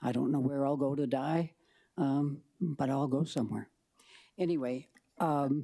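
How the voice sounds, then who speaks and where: A woman with a very deep, low pitch and a dark, mellow tone speaks fairly slowly with long, frequent pauses, fairly even intonation and very even loudness, in a very clean recording with a silent background. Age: 80s+. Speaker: public testifier, short-term rental owner. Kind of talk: public testimony. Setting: city council hearing. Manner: halting, many fillers.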